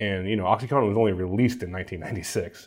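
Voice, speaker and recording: The speaker has an American accent and talks at a very fast pace. Pitch variation is ordinary. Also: man. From Somerville, Massachusetts (Boston area). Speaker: documentary filmmaker and journalist. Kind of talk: interview.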